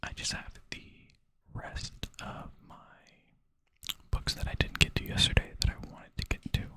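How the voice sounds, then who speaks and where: Someone whispers at a moderate pace with long, frequent pauses while noticeable background noise is heard. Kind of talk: casual talk to camera. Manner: whispered.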